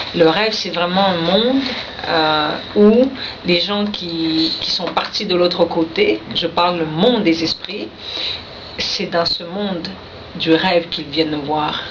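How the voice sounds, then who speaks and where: In a Quebec accent, a woman with a fairly low pitch talks at a very slow pace with ordinary pitch variation and long, frequent pauses, amid audible room echo and noticeable background noise. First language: Innu (speaking French). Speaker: poet. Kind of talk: radio interview. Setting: radio studio.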